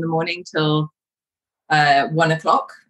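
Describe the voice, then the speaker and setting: A woman with a London accent, fairly low in pitch, with a bright, sharp tone and moderate pace. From London, England. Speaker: coach. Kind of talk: interview conversation. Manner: hesitant, many fillers.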